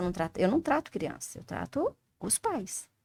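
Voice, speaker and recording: At a moderate pace, a woman's voice swings very widely in pitch, with a dry, close sound and no echo. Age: 60s. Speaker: flower essence therapist. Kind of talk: interview. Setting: studio. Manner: animated.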